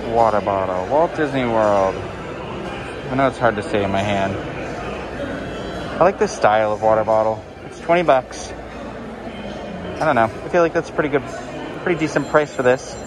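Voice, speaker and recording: A moderate pace with long, frequent pauses, dry sound with no echo, music in the background. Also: man. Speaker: theme park vlogger. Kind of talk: casual vlog commentary. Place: shop. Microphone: phone near.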